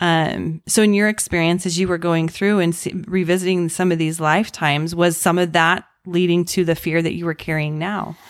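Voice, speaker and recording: A woman's fairly low-pitched, monotone, flat delivery at a moderate pace, on a very clean recording with a silent background. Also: hardly any pauses. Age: 40s. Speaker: podcast host. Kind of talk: casual interview chat.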